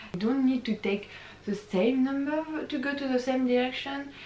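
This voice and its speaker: The recording has noticeable background noise. The pitch varies in an ordinary way. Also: woman. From France. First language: French. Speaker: YouTuber, exchange student. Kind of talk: casual vlog talk. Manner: hesitant, many fillers.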